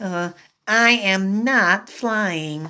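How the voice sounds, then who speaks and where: A female-sounding voice puts on a character voice at a medium pitch. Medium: read story. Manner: eager, bouncy.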